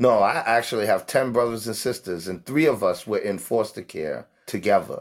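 Over a very clean recording with a silent background, a man with a New York accent speaks at a moderate pace and medium pitch, using ordinary pitch variation and hardly any pauses. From New York City, the Bronx. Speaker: homeless advocate. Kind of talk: interview.

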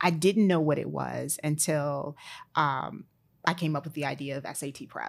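With an American accent, a woman speaks at a moderate pace in a very deep, low voice with vocal fry, on a very clean recording with a silent background. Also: fairly even intonation, big swings in loudness. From Maryland, DC area. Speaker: entrepreneur, content creator. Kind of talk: casual chat.

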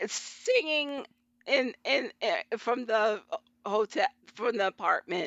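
A woman's fairly high voice, very slow with long, frequent pauses, lively intonation and very even loudness. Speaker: government analyst and fiction writer. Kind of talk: casual chat.

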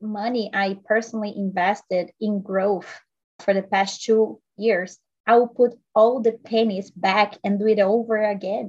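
Speaking fairly slowly, a woman with a Portuguese accent uses a fairly high pitch and fairly even intonation. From Brazil. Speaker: health and life coach. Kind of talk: podcast interview.

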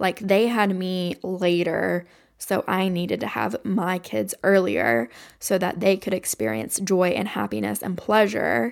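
A woman at medium pitch with vocal fry, fairly slow in pace, her pitch swinging very widely, on a very clean recording with a silent background. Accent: American. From Kentucky, Appalachia. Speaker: podcast host. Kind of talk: solo podcast monologue. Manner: casual, stream of consciousness.

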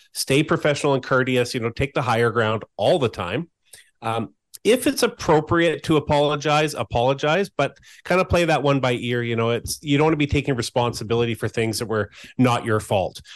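Heard against a quiet background with a dry, close sound and no echo, a man with an ordinary speaking voice talks at a fairly quick pace, medium pitch and ordinary pitch variation. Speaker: co-host, senior SEO specialist. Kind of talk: educational podcast discussion.

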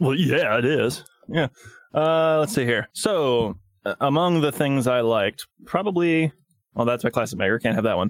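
A man talks at a moderate pace with lively intonation and fairly high pitch. It is an ordinary speaking voice. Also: very even loudness. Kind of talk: casual podcast roundtable about a movie.

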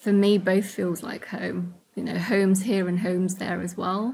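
Somewhat breathy, a woman speaks at a moderate pace in a medium pitch. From Iraqi Kurdistan, raised in London from young age. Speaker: charity founder. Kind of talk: interview testimony.

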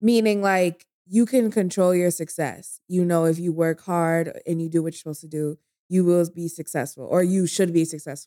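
In an American accent, a woman with a fairly low, dark, mellow voice speaks with hardly any pauses, big swings in loudness, and ordinary pitch variation. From New York. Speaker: podcast co-host and guest. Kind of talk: casual chat. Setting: drinking together in a dim room. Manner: fast talker.

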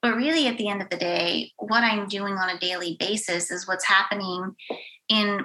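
With an American accent, a woman speaks at a fairly slow pace in a normal speaking voice, medium in pitch with ordinary pitch variation. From Western Pennsylvania. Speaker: university director of belonging. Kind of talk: casual interview chat.

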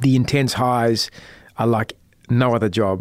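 The pitch of this man's voice is medium. He has an Australian accent. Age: 40s. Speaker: investigative journalist. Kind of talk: interview.

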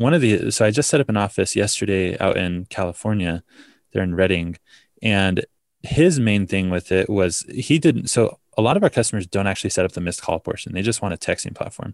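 A man with a fairly low pitch speaks at a fairly quick pace in a plain, everyday voice with ordinary pitch variation. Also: dry, close sound with no echo. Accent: American. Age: 20s. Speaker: startup founder. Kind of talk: interview.

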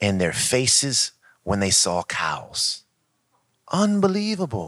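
A man's bright, sharp voice with an American accent, very wide pitch swings and vocal fry, on a very clean recording with a silent background. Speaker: co-founder of a mindfulness nonprofit. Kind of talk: casual conversational talk. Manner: joking, storytelling.

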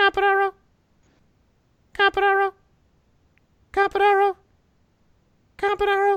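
An extremely high, squeaky put-on character voice, monotone and flat, at a fairly quick pace broken by long, frequent pauses

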